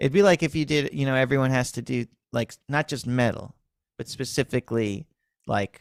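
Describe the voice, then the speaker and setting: This is a plain, everyday voice from a man at medium pitch and moderate pace, with ordinary pitch variation. The sound is dry and close with no echo. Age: 30s. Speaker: music teacher and livestream host. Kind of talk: casual chat. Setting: livestream.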